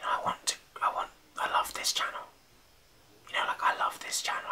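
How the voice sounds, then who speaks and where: Whispering at a moderate pace. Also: man. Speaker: YouTuber. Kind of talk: casual vlog chat. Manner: soft, close ASMR speaking voice. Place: home room.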